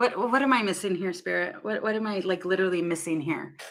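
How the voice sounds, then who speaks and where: A woman is speaking. Her pace is fairly quick. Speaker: tarot reader. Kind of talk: live tarot reading stream. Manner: loud.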